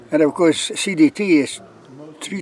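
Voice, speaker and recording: Noticeable background noise behind a man at a moderate pace with ordinary pitch variation. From Lithuania. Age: 80s+. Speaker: long-distance hiker. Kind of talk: interview. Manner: halting, many fillers and repeats.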